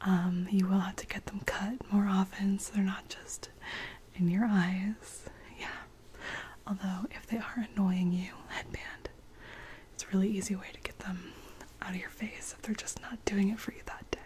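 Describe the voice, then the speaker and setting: A woman whispering at a moderate pace, with long, frequent pauses and big swings in loudness. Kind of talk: roleplay, soft personal attention talk. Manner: soft-spoken, close-mic ASMR hairdresser talk. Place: home room. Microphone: studio mic.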